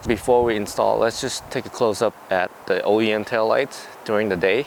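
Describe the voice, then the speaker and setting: Fairly even intonation marks a man speaking with a non-native accent at a moderate pace. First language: not English. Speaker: car DIY YouTuber. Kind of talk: tutorial. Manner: casual.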